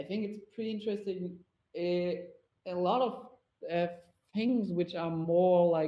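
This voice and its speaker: Speaking in a German accent at a fairly slow pace, the voice has ordinary pitch variation, long, frequent pauses and audible room echo. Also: man, high pitch for a man. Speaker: motion designer presenting a talk. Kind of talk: Q&A after a conference talk. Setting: virtual VR conference, online. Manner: halting, many fillers.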